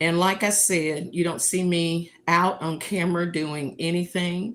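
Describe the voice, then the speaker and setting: Fairly low in pitch, a woman speaks slowly-ish, at a fairly slow pace, with a Southern US accent. Her intonation is monotone and flat. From US South, North Carolina. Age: 70s. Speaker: livestream host. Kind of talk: casual livestream monologue.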